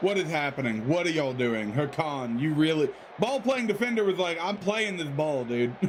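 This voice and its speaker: A man talks at a moderate pace with a fairly high pitch, an animated tone and very wide pitch swings. Audible room echo and noticeable background noise fill the recording. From United States. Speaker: video game streamer. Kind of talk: live gameplay commentary and chat. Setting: live stream.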